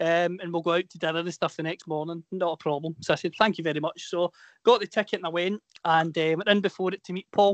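A man's high, monotone voice at a very fast pace, flat in intonation, dry and close with no echo against a quiet background. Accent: west of Scotland. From Scotland, Inverclyde. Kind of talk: casual chat, anecdote.

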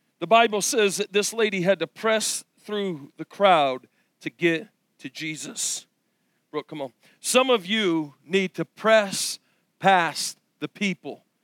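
At a very slow pace with long, frequent pauses, a man speaks at a high pitch with lively intonation, the sound dry and close with no echo in a very clean recording with a silent background. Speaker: preacher. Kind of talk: sermon. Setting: church. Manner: animated, passionate preaching; emphatic, building to a crescendo.

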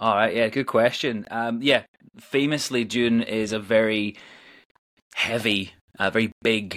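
A man's medium-pitched voice with fairly even intonation and long, frequent pauses. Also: very clean recording, silent background. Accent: Northern Irish. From Northern Ireland. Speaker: musician and theatre performer. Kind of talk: interview. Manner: hesitant, many fillers.

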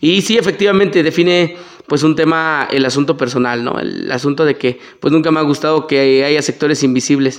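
This man has a plain, everyday voice with a fairly high pitch. He moves at a fairly quick pace with ordinary pitch variation. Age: 30s. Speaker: political candidate. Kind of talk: interview. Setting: studio.

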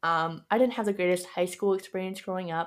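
On a very clean recording with a silent background, a woman with a Canadian accent speaks at a moderate pace and medium pitch with ordinary pitch variation. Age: 20s. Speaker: podcast host. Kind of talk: solo monologue podcast. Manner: casual, filler-heavy.

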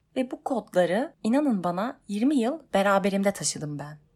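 A woman's voice has a dark, mellow tone and very wide pitch swings at a moderate pace. The recording is very clean, with a silent background. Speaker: podcaster working in television. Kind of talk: personal monologue podcast.

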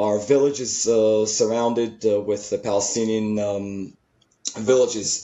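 A man speaks at a fairly slow pace with fairly even intonation, his pitch medium and a plain, everyday voice. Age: 40s. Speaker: soldier. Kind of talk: interview.

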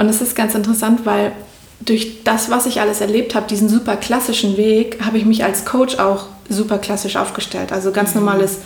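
Over noticeable background noise and audible room echo, a woman speaks fairly quickly at a fairly high pitch in a flat, monotone way. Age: 30s. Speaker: spiritual coach. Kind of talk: interview.

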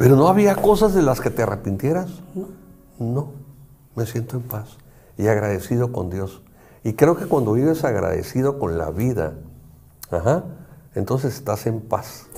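The voice moves at a fairly slow pace with long, frequent pauses and very wide pitch swings. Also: man. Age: 60s. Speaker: psychologist and show host. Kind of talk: casual chat.

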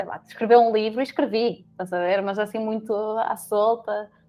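A woman speaks in a flat, monotone way over music playing in the background. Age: 20s. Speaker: HR professional, psychologist. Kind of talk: casual chat.

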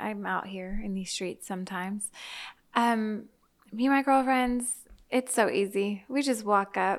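A woman with an unremarkable speaking voice talks at a fairly slow pace and a medium pitch. Her intonation is fairly even, and the recording is very clean with a silent background. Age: 30s. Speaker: former teacher. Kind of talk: casual chat.

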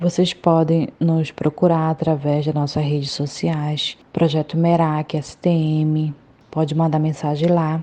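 A woman's very deep, low voice carries a dark, mellow tone, moving at a fairly slow pace in monotone, flat intonation. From Brazil, Santarém, Pará. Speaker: volunteer project vice-coordinator. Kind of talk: interview testimony.

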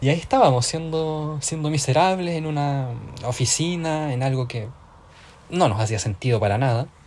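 A somewhat breathy, fairly high-pitched man's voice at a moderate pace with ordinary pitch variation. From southern Chile (Tomé, near Concepción). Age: 20s. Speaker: podcast co-host. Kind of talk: casual chat.

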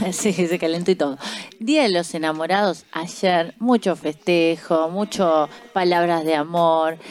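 With an unremarkable speaking voice, a woman talks at a fairly slow pace at a fairly low pitch with ordinary pitch variation and very even loudness. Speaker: radio host and sommelier. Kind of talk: radio talk show. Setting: radio studio.

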